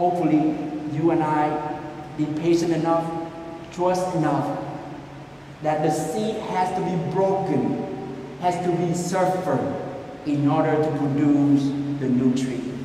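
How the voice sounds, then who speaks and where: Through strong room echo and light background noise, a man speaks at a fairly slow pace with fairly even intonation. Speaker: priest giving homily. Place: church. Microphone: camera far.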